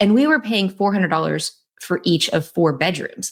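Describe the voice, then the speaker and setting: A woman with a slight Southern US accent speaks at a fairly quick pace. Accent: little Southern twang. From North Carolina, Raleigh area. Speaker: real estate investor. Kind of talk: casual interview chat.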